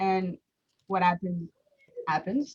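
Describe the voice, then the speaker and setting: In a French Canadian accent, a woman speaks at a medium pitch, somewhat breathy, with fairly even intonation. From Quebec, Montreal. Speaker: small business owner. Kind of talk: live stream interview. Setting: Facebook live stream. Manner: halting, many fillers.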